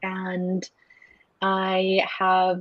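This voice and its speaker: An American-accented woman's voice, pitched fairly low. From Salt Lake City, Utah, US. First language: Spanish. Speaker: university student. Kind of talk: interview. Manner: hesitant, many fillers.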